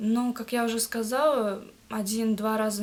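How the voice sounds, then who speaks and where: A woman's somewhat breathy, fairly high-pitched voice. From Kazakhstan, Akmola region. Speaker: language learner, student. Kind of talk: interview. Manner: halting, many hesitations.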